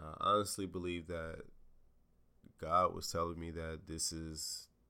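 A man speaks at a moderate pace in a very deep, low pitch with a bright, sharp tone. His loudness swings widely, and he takes long, frequent pauses. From Jacksonville, Florida. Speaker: podcast host, former college athlete. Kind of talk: casual solo podcast monologue. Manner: casual, laid-back.

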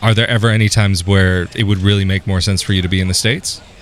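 Talking at a very fast pace, a man speaks with a Californian accent. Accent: Californian American. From US, California. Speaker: YouTuber interviewer. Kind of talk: casual interview. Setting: outdoors.

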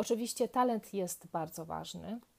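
A woman speaks at a fairly slow pace in a dark, mellow tone. The recording is very clean, with a silent background. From southern Poland, near Kraków. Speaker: yoga podcaster, trained musician. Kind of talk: casual monologue.

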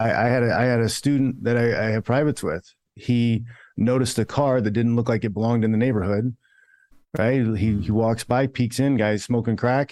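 This man has a normal speaking voice at a medium pitch, talking at a fairly quick pace with fairly even intonation and very even loudness in a very clean recording with a silent background. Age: 40s. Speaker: former fighting champion and martial arts coach. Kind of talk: casual chat.

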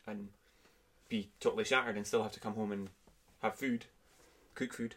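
A man with an Aberdeen accent. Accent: Aberdeen Scottish. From Scotland, Aberdeen. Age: 20s. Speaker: podcast guest. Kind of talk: casual chat. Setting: at home.

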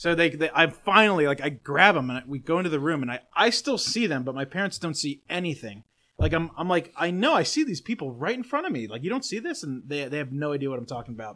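Against a silent background in a very clean recording, a man with fairly high pitch and a bright, sharp tone talks at a very fast pace with very wide pitch swings and hardly any pauses. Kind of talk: casual banter.

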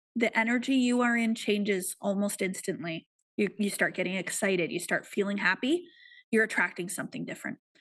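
A woman speaks at a fairly quick pace in an ordinary speaking voice, medium in pitch with ordinary pitch variation, against a quiet background. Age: 40s. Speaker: success and manifestation coach. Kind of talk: interview.

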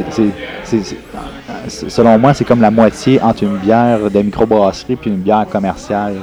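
Noticeable background noise sits behind a man with a fairly low pitch. His intonation is fairly even, and his pauses are long and frequent. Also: moderate pace. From Quebec, Granby area. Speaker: radiology resident physician. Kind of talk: casual chat. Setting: brewery.

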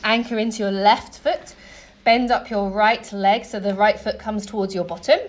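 Woman with a fairly high pitch and a calm, soothing tone over noticeable background noise. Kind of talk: guided yoga class instruction. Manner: calm, rhythmic, cue-by-cue coaching; clear and encouraging; soothing and gentle in breathwork, brisk and directive in the flow.

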